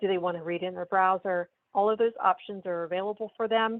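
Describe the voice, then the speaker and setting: With an unremarkable speaking voice, a woman of medium pitch talks at a fairly quick pace in fairly even intonation. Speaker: software sales demonstrator. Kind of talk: product demo.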